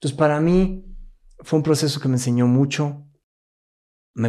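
A man's voice with a dark, mellow tone comes through in a very clean recording with a silent background. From Mexico City, moved to Querétaro at 16. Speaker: business coach and NLP trainer. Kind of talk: interview.

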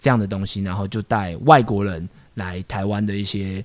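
A man with a fairly low pitch talks at a moderate pace in an ordinary speaking voice. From Taiwan (Taipei). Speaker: street dance crew founder. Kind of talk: casual chat.

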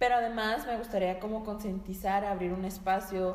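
A woman's medium-pitched, monotone, flat delivery at a moderate pace, with audible room echo and noticeable background noise. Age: 20s. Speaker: dancer and nutrition student. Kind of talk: casual chat.

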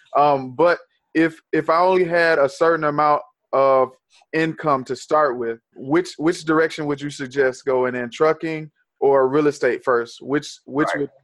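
A man's plain, everyday voice, fairly high in pitch, with fairly even intonation and a moderate pace. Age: 30s. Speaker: podcast host. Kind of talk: casual interview; show outro.

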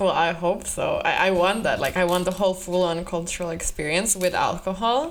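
A woman's medium-pitched voice at a fairly quick pace, very even in loudness, with noticeable background noise. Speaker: podcast co-host. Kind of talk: casual banter podcast chat. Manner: joking, animated.

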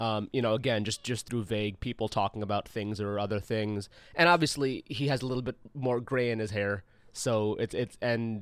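Speaking at a moderate pace with an American accent, a man uses a medium pitch and ordinary pitch variation in an unremarkable speaking voice. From US Midwest, St. Louis. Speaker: podcast guest. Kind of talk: casual chat. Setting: video call.

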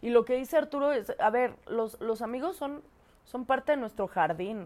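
A woman with a Mexican accent talks at a moderate pace with lively intonation. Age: 20s. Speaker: podcast co-host. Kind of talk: casual chat. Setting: studio with camera.

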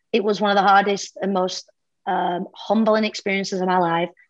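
A woman with a British accent, fairly quick and flat in a monotone, against a quiet background. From UK. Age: 40s. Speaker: fitness coach. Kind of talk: casual chat.

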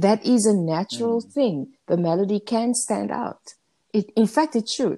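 Fairly high for a woman, her voice has a dark, mellow tone, lively intonation, and a moderate pace. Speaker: singing coach / choir leader podcast co-host. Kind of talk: casual chat. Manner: animated.

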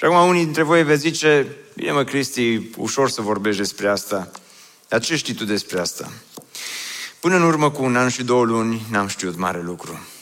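A man at a medium pitch with lively intonation, moderate pace, and audible room echo. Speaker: pastor. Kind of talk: sermon.

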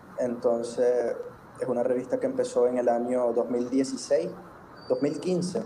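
A man talks at a very slow pace with very even loudness. Noticeable background noise and audible room echo are present. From Nicaragua, Chinandega. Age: 20s. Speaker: poet and law student. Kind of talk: interview.

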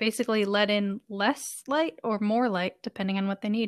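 A woman with a fairly high pitch and an unremarkable speaking voice speaks with fairly even intonation, the very clean recording dry and close with no echo and a silent background. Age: 30s. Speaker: podcast co-host. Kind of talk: casual chat.

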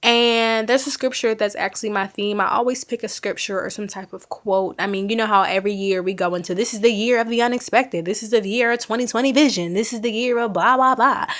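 A woman talks very fast at a fairly high pitch, with hardly any pauses. Noticeable background noise runs underneath. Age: 20s. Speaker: podcast host. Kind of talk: casual chat. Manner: animated.

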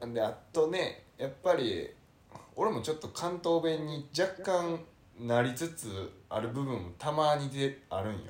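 Lively intonation from a man with a fairly high pitch at a fairly slow pace. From Kyoto. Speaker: podcast co-host. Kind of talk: casual chat. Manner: soft-spoken Kansai speech.

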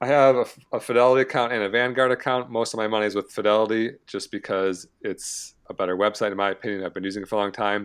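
Over a quiet background, a man with an American accent and medium pitch talks at a very fast pace, with hardly any pauses and fairly even intonation. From Michigan, US Midwest. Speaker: personal finance influencer, early retiree. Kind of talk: casual interview.

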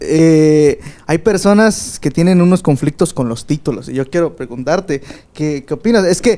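Fairly slow, fairly high-pitched male speech. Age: 20s. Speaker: podcast host. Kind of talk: casual chat.

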